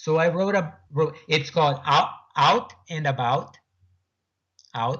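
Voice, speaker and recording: A man with a Portuguese accent speaks at a fairly slow pace with fairly even intonation. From Brazil, Sao Paulo state. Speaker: author and afterlife researcher. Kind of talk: radio interview. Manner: halting, many repetitions.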